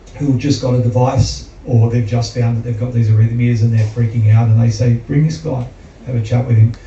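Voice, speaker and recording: Monotone, flat intonation from a man with an Australian accent at medium pitch and a fairly quick pace, with noticeable background noise. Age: 60s. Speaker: heart patient and athlete. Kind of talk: testimony.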